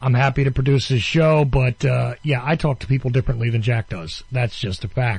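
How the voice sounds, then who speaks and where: Somewhat breathy and at a fairly quick pace with hardly any pauses, a man talks in a medium pitch with ordinary pitch variation and an American accent. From New Jersey. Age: 50s. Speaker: radio host. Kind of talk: interview. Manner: halting.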